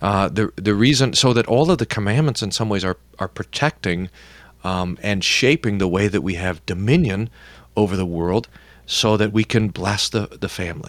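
This is a man with a normal speaking voice, fairly low in pitch, with ordinary pitch variation and a moderate pace. The recording is very clean, with a silent background. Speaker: pastor. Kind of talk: interview discussion.

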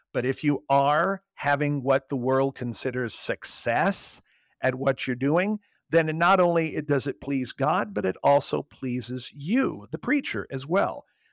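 A man with an American accent speaks fairly slowly in an ordinary speaking voice at a fairly high pitch, with ordinary pitch variation. The sound is dry and close with no echo. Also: very clean recording, silent background. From US Midwest, Southern Illinois. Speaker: pastor, former radio disc jockey. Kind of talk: religious radio talk show, Bible study discussion.

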